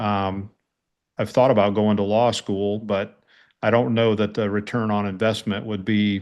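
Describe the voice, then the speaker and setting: A fairly low male voice with an American accent, monotone and flat, at a fairly slow pace. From United States. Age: 60s. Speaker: army veteran and police chief. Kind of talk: interview conversation. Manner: hesitant with fillers.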